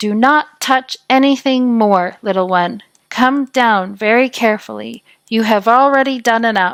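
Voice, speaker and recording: A woman puts on a character voice at a fairly high pitch. Her pitch varies in an ordinary way at a moderate pace. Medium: read story. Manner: serious, commanding yet entreating.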